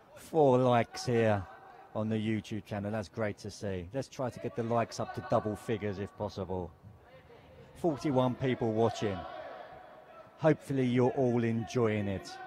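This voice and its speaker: Noticeable background noise sits behind a man speaking at a moderate pace with ordinary pitch variation. He leaves long, frequent pauses. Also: medium pitch for a man. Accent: British. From England. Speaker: football commentator. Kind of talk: live commentary. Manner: animated.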